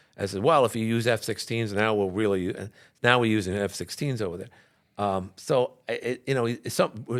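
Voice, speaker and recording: With a New York accent, a man speaks in a very clean recording against a silent background. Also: medium pitch for a man, ordinary pitch variation, moderate pace. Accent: New York City. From New York City, Queens. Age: 60s. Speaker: radio and TV talk show host. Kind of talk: casual interview about politics. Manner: halting, many restarts and fillers.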